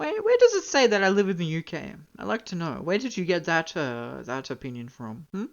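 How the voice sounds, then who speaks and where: The speaker has a slight Australian accent. The pace is fairly quick. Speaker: streamer. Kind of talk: gaming livestream chat. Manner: animated.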